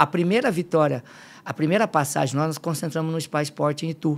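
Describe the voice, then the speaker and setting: A man speaks at a high pitch and a fairly quick pace. His pitch variation is ordinary. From Limeira, São Paulo state, Brazil; São Paulo State, Brazil. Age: 50s. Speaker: football fitness coach. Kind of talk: casual chat. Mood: emotional when telling family story. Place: studio. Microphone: studio mic.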